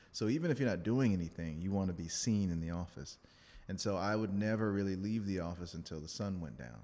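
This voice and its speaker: In a very deep, low voice with a dark, mellow tone, a man talks at a very fast pace with lively intonation. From Louisiana, New Orleans. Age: 30s. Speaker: attorney and dance instructor. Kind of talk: casual interview.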